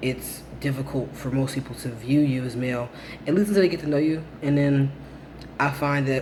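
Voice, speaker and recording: The pace is fairly quick and the intonation fairly even. Room echo is audible. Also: man. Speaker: vlogger documenting transition. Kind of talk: casual vlog update. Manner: hesitant, many fillers.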